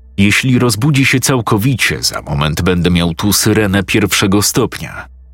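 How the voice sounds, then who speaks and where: Over music in the background, a man with a very deep, low pitch speaks with lively intonation. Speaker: narrator of creepypasta stories. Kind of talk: ghost story telling, first-person horror narration.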